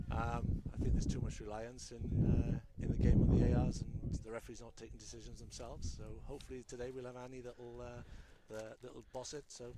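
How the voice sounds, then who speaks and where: A man speaks at a fairly quick pace with a Welsh accent. There is noticeable background noise. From Wales. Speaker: color commentator, former rugby referee and coach. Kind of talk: live sports commentary. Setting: commentary booth outdoors at rugby game. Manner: fast.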